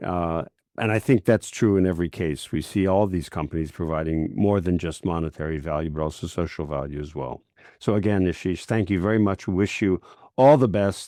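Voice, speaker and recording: Against a quiet background, a man with a very deep, low pitch and a dark, mellow tone speaks at a fairly quick pace. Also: ordinary pitch variation. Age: 70s. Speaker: podcast host. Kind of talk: interview podcast.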